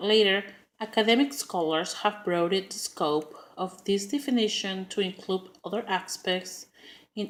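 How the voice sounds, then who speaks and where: Speaking with a strong Spanish accent, a woman shows ordinary pitch variation. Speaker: preschool teacher. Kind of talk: class speech. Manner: halting, many fillers.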